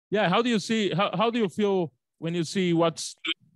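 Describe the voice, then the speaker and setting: In a Portuguese accent, a man talks at a moderate pace with ordinary pitch variation, the sound dry with no echo against a quiet background. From Brazil. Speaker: interviewer. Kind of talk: interview. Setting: video call. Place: home room. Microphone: studio mic.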